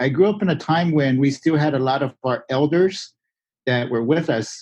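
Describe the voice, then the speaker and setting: A man with a Florida accent, moderate pace and ordinary pitch variation. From Miccosukee Reservation, Everglades, Florida. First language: Miccosukee. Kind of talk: interview. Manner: casual, many filler words.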